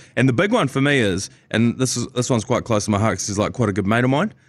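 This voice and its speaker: A man's medium-pitched voice in a New Zealand accent, with ordinary pitch variation. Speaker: sports podcast host. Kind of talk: casual chat. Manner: animated.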